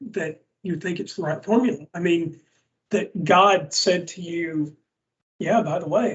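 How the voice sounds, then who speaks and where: A man speaks in a strong Southern US accent at a fairly slow pace. His pitch is high, with ordinary variation. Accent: thick Southern US. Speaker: podcast co-host, former believer. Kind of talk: casual podcast discussion.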